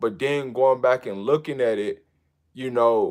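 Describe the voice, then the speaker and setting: In an American accent, a man speaks with an animated tone at a moderate pace. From US Midwest, St. Louis. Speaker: football content creator, former player. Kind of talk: livestream commentary.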